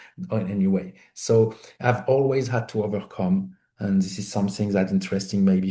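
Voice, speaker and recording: A man's fairly low, somewhat breathy voice with a dark, mellow tone, lively intonation and a moderate pace. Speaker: independent film producer. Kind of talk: interview storytelling. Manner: animated, conversational with many fillers.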